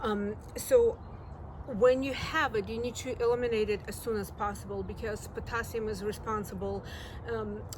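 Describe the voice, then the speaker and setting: A woman speaks at a moderate pace. Noticeable background noise and audible room echo fill the recording. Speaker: gardening youtuber. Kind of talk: tutorial.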